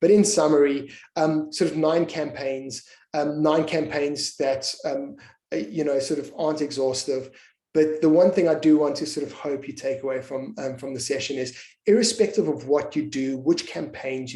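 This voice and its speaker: A man speaks at a fairly high pitch with ordinary pitch variation. His tone is dark and mellow. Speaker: webinar speaker, marketing expert. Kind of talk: webinar presentation. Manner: fast; halting, many fillers and repetitions.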